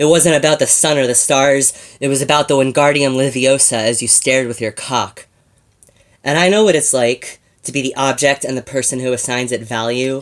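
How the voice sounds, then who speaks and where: Speaking at a fairly quick pace with fairly even intonation, a man has an unremarkable speaking voice at medium pitch. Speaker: slam poet. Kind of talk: slam poetry performance.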